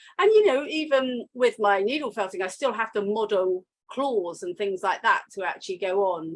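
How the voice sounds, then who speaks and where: At a moderate pace, a woman talks with a London accent and ordinary pitch variation. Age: 60s. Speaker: fibre artist. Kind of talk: casual interview chat. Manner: hesitant, many fillers.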